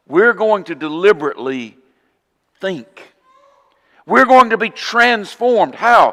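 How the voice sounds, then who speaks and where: A fairly slow delivery in a Southern accent, with very wide pitch swings. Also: man. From US South, Northwest Florida. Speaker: preacher. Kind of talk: sermon.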